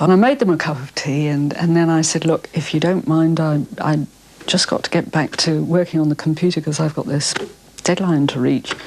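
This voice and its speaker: A woman's very deep, low voice with an English accent, fairly quick, with ordinary pitch variation over noticeable background noise. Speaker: author. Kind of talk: interview answer.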